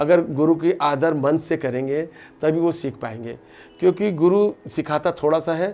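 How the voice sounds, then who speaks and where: Fairly high in pitch, a man speaks with a dark, mellow tone and ordinary pitch variation. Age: 60s. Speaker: classical flute player. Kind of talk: interview.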